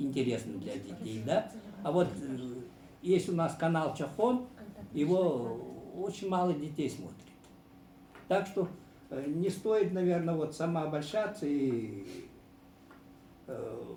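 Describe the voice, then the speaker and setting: In a room with audible echo, a man with a fairly high pitch and a dark, mellow tone speaks at a very slow pace, using very wide pitch swings and long, frequent pauses. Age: 70s. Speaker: sports journalist, former teacher. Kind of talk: panel discussion. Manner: hesitant, with frequent fillers.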